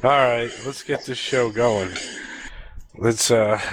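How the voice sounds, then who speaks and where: A man speaks at a very slow pace with a medium pitch and fairly even intonation. Noticeable background noise runs beneath him. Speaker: podcast host. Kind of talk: casual chat. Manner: playful.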